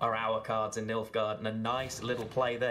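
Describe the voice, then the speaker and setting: A man talks at a fairly quick pace. He speaks with a British accent. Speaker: esports caster. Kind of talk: live commentary.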